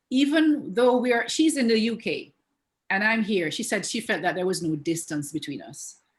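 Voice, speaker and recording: A somewhat breathy woman's voice, fairly high in pitch, with very wide pitch swings, on a very clean recording with a silent background. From Jamaica. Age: 60s. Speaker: relationship coach and therapist. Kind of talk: interview.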